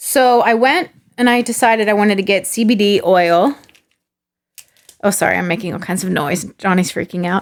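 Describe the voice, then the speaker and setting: A woman with an American accent speaks at medium pitch and a moderate pace. She has an ordinary speaking voice with ordinary pitch variation. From California, San Diego. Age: 30s. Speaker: actor. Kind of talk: casual chat.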